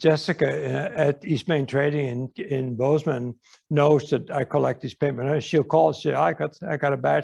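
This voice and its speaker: A man speaks in a somewhat breathy voice at a fairly high pitch. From Netherlands. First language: Dutch. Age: 80s+. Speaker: artist. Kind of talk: audience Q&A at an artist talk. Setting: museum talk with audience. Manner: casual, halting with many fillers.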